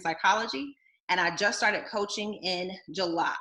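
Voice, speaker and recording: A woman's bright, sharp, animated voice at medium pitch, with an American accent and ordinary pitch variation. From US South, South Carolina. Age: 30s. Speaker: health coach. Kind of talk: online presentation. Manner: fast.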